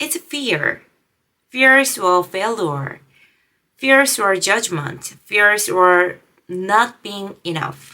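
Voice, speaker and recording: A woman with a non-native accent and a bright, sharp tone, at a very slow pace with long, frequent pauses, very wide pitch swings and big swings in loudness. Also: medium pitch for a woman. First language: not English. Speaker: video creator, language learner. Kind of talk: motivational vlog talk. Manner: halting, self-correcting.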